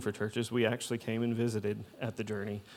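On a very clean recording with a silent background, a man with an American accent talks fairly quickly at a medium pitch. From Kentucky (Louisville). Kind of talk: testimony.

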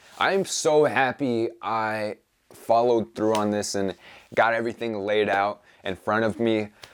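Talking at a fairly slow pace, a man has an unremarkable speaking voice, medium in pitch, with ordinary pitch variation. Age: young. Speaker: podcast host and self-publishing entrepreneur. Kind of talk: solo vlog update. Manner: casual, upbeat.

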